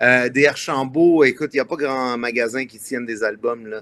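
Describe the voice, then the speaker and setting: The speaker is a man at a fairly slow pace. His pitch sits in the medium range and varies in an ordinary way. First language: Italian (speaking French). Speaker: singer-songwriter. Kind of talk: interview.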